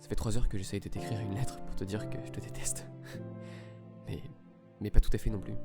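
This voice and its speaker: A man with a very deep, low pitch at a very fast pace, very wide pitch swings, big swings in loudness and long, frequent pauses, over music in the background. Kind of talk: literary reading of a love letter, spoken to himself.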